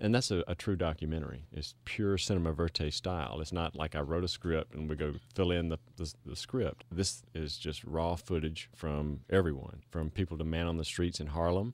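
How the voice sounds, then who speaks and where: With a Southern US accent, a man with a very deep, low pitch talks at a moderate pace with ordinary pitch variation and hardly any pauses. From Mississippi. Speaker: preventive medicine doctor and documentary filmmaker. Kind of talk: radio interview.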